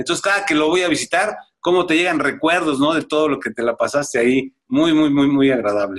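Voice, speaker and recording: This man has an unremarkable speaking voice, pitched fairly high. He talks at a fairly quick pace with ordinary pitch variation. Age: 50s. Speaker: retired footballer. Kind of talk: interview.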